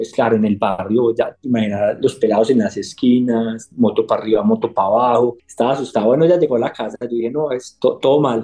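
A man with an Antioquian accent talks at a very fast pace with hardly any pauses, his medium-pitched voice dark and mellow, his intonation fairly even. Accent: Colombian paisa Spanish. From Colombia, Antioquia (Medellín). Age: 30s. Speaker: HR executive. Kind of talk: interview conversation. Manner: halting, with frequent repetitions.

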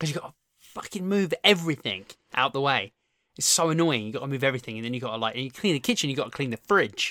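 Talking at a very fast pace, a man uses lively intonation and a bright, sharp tone. The audio is dry and close, with no echo. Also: fairly high pitch for a man. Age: 30s. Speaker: fitness podcast co-host. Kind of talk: casual chat.

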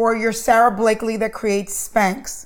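A woman speaks in an ordinary speaking voice. She is fairly high in pitch and goes at a fairly slow pace. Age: 50s. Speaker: podcast host. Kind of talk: interview.

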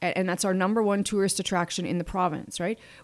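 A woman talks with a Canadian accent in a plain, everyday voice. Her intonation stays fairly even, and the recording is very clean with a silent background. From Manitoba, Canada. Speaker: economic development executive. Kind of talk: interview.

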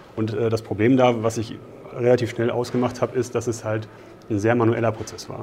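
The intonation is monotone and flat. Delivery runs at a fairly quick pace, with noticeable background noise. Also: man, medium pitch for a man. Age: 30s. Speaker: engineer in cost controlling. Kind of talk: interview. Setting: conference.

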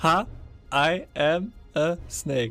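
Over faint music in the background, a man uses a put-on character voice with a fairly high pitch. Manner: convincing, playful.

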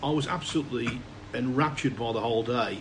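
A man speaks fairly quickly at a medium pitch. Noticeable background noise and audible room echo fill the recording. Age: 50s. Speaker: snooker commentator. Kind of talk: casual chat.

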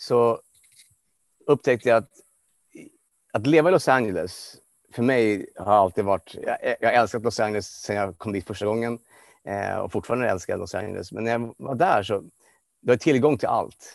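A man with a medium-pitched voice and ordinary pitch variation speaks at a moderate pace, leaving long, frequent pauses. The sound is dry and close with no echo, against a quiet background. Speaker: life coach. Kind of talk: interview. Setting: video call. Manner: halting.

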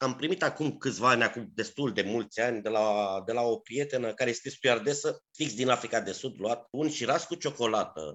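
A man with a plain, everyday voice speaks at medium pitch with ordinary pitch variation. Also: fairly quick pace. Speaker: culinary historian and podcast host. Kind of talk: interview. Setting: remote call.

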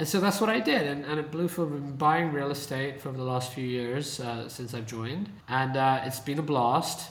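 A fairly high-pitched man with a British accent, at a moderate pace with hardly any pauses and ordinary pitch variation, over noticeable background noise. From UK. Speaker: venture capitalist. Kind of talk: casual interview conversation. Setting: video call from San Francisco.

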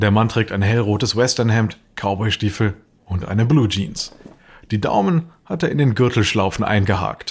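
Somewhat breathy and fairly low in pitch, a man talks at a moderate pace with ordinary pitch variation. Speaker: narrator. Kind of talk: dramatic narration, scripted storytelling with voiced dialogue. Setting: studio. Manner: vivid, suspenseful, steady storyteller pacing.

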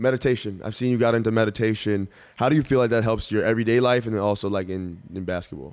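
This man talks at a very fast pace with an American accent, medium pitch and ordinary pitch variation on a very clean recording with a silent background. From Dallas, Texas. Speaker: basketball player and podcast host. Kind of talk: casual interview chat. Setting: in Philadelphia.

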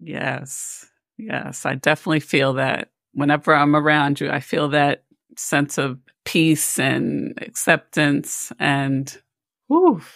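The recording is very clean, with a silent background. A woman speaks very slowly at a very deep, low pitch with fairly even intonation. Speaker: podcast host, psychologist. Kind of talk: interview, casual chat.

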